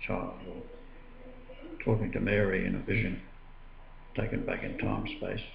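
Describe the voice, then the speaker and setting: An Australian accent over noticeable background noise. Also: man. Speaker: religious video blogger. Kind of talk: personal testimony monologue. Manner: halting, with frequent filler. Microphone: webcam.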